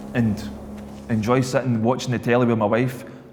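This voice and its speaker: A man with a Scottish accent and medium pitch talks at a fairly quick pace, with audible room echo and noticeable background noise. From Scotland. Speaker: former alcoholic, ex-prisoner. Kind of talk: testimony.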